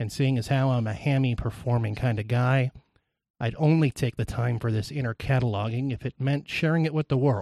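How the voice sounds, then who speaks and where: The man's pitch is medium and his intonation fairly even. The sound is dry and close with no echo, in a very clean recording with a silent background. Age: 30s. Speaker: podcast guest host sharing mental illness story. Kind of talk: reading a personal essay aloud. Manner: loud; shaky.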